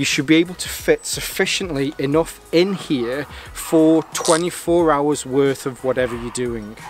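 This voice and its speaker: Faint music plays in the background as a man talks with ordinary pitch variation in a dry sound with no echo. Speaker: gear reviewer. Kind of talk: product review vlog. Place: forest.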